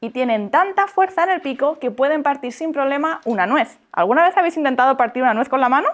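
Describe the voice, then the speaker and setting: A woman talks at a very fast pace in a high pitch with an animated tone. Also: lively intonation, hardly any pauses. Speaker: bird educator, parrot content creator. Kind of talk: talk to schoolchildren. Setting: classroom. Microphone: poor camera audio at end of class.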